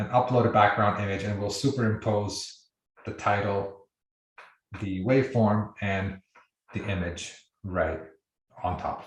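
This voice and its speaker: Somewhat breathy, a man talks at a fairly low pitch. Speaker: software company founder giving product demo. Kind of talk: live webinar tutorial. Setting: video call. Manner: fast.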